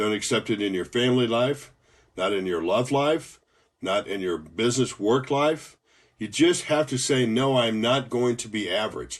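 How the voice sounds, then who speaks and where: A man with an American accent speaks in an ordinary speaking voice at a medium pitch and moderate pace. His pitch varies in an ordinary way against a quiet background. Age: 60s. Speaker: motivational speaker, former professor and pilot. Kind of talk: motivational talk.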